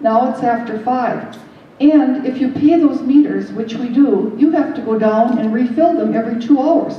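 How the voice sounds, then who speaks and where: Amid noticeable background noise and audible room echo, a woman with a high pitch talks at a moderate pace with fairly even intonation. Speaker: artist and local resident. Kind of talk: public meeting comment. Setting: community meeting in a theatre.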